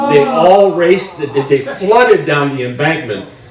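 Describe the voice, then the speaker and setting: The intonation is lively, with noticeable background noise and audible room echo in the recording. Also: man. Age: 60s. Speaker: storyteller. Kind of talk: personal storytelling on stage. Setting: stage with audience.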